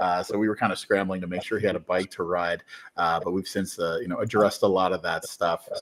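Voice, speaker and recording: In a very deep, low pitch, a man speaks at a very fast pace with monotone, flat intonation. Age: 30s. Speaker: company representative, live stream host. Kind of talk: live interview.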